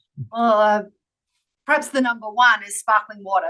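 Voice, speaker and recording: In an Australian accent, a woman speaks with a bright, sharp tone and fairly even intonation. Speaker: workplace strategy executive. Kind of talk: interview.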